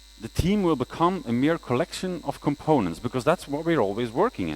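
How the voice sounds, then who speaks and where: Speaking at a fairly quick pace with hardly any pauses, a man uses a fairly high pitch, very wide pitch swings and vocal fry, in a dry, close sound with no echo. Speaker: conference speaker, freelance front-end developer. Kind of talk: conference talk. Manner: fast.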